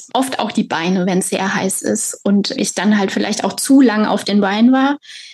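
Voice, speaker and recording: A woman's somewhat breathy speech, ordinary in pitch variation. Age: 30s. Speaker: author and patient. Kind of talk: personal testimony interview.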